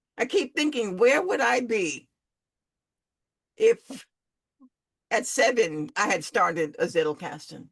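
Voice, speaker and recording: A woman at a fairly slow pace, fairly high in pitch, with very wide pitch swings and long, frequent pauses. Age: 70s. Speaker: podcast host. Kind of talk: casual group discussion. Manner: halting, repetitive.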